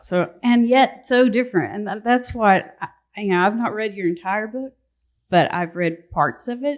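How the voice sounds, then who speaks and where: A woman with a Southern accent, fairly high in pitch, at a moderate pace with ordinary pitch variation. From US South, North Georgia (Appalachian foothills). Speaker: novelist. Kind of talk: book festival panel discussion.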